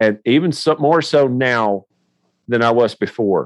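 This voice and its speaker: With a Tennessee accent, the speaker talks at a fairly slow pace with lively intonation, in a dry, close sound with no echo. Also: man. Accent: Southern US (Tennessee). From US South, Nashville area. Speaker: podcast host. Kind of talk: casual interview.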